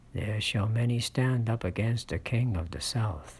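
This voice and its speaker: A very slowly paced, soft-spoken delivery. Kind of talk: ASMR scripture reading, soft-spoken Bible narration.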